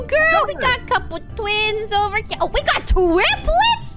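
A put-on character voice at an extremely high pitch moves at a moderate pace. Clear music plays in the background. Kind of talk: jovial, brash.

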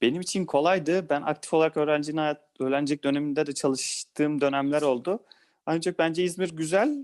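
Against a quiet background, a man with an unremarkable speaking voice talks fairly quickly at a fairly high pitch, with a dry, close sound with no echo. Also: fairly even intonation. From Balıkesir, Turkey. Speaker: lawyer. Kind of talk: interview.

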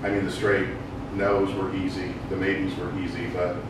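A man speaks at a moderate pace over loud background noise, with audible echo in the room. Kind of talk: meeting report. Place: meeting room. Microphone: camera far.

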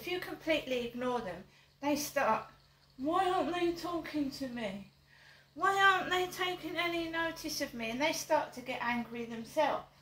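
A woman's high-pitched voice with a bright, sharp tone at a moderate pace, light background noise and audible room echo. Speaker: vlogger. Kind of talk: casual vlog chat. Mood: aggrieved, complaining. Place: home room. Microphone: camera far.

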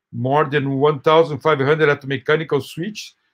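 Against a quiet background, someone speaks at a very slow pace with a Portuguese accent. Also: man. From Brazil. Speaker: professor. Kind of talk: lecture. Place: home room. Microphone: webcam.

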